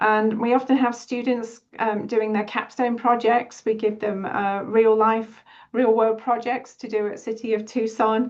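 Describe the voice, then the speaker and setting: A woman's fairly high, monotone voice with a British accent, fairly slow and with hardly any pauses, flat in intonation. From United Kingdom. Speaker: city HR deputy director. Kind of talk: webinar presentation. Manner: hesitant, many fillers.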